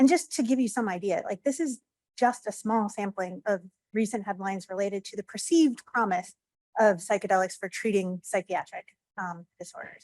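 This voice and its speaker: A woman talks at a fairly quick pace, her pitch fairly high with ordinary variation. The sound is dry and close, with no echo. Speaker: FDA psychiatry division director, speaker. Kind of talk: conference talk. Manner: fast.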